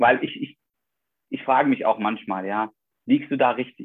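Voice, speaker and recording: A man speaking at a moderate pace. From Iraq. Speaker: doctor, vascular surgeon. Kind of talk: interview.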